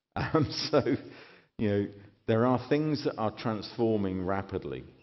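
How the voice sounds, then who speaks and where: A British accent at a moderate pace, with audible room echo. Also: man. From Britain. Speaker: keynote speaker. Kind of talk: keynote speech. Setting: stage with audience.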